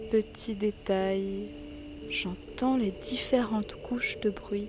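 Speech unfolds very slowly against noticeable background noise. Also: woman. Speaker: documentary podcaster. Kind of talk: scripted narration.

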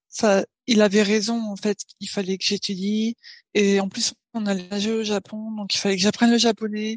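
Speaking in a monotone at a fairly slow pace with long, frequent pauses, a woman with a medium pitch is heard in a dry, close recording with no echo over a quiet background. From Paris, France. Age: 20s. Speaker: software engineer and new mother. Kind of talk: casual interview chat. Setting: remote recording.

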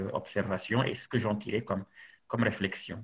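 A man with an ordinary speaking voice, medium pitch and fairly even intonation. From Senegal. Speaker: novelist. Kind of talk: interview.

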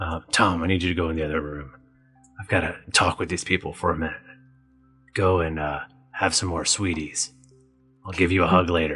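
Doing a put-on character voice, a man growls in a gravelly, very deep, low register at a fairly quick pace, broken by long, frequent pauses, with faint music in the background. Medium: actual play. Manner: gruff, pompous.

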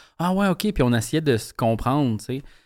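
Very fast and lively in intonation, a man speaks at a fairly high pitch on a very clean recording with a silent background. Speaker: comedian, sketch comedy writer. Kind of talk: casual chat.

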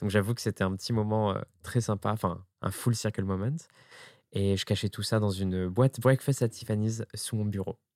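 Here is a man with an ordinary speaking voice, fairly low in pitch, going at a moderate pace. The recording is very clean with a silent background, and the sound is dry and close with no echo. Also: fairly even intonation. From France, Ardèche. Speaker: drag queen and makeup artist. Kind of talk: casual interview. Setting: drag workshop.

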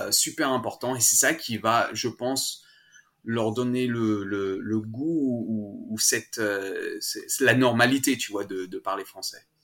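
A man at medium pitch with a bright, sharp tone, ordinary pitch variation and a very slow pace. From France, Savoie (Annecy, Alps). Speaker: parent running a playgroup. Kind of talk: interview. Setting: online call. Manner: halting, with frequent repetitions.

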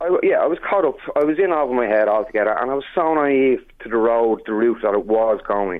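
Here a man speaks in an Irish accent. His pace is fairly quick and his intonation lively. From Ireland. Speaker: chef. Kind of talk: interview. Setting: phone call.

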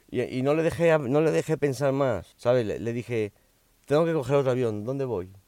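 This man talks at a moderate pace in a medium pitch. His pitch varies in an ordinary way. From Miami, US (from age four). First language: English (speaking Spanish). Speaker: YouTuber and podcaster. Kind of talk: personal storytelling monologue. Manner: halting, repetitive.

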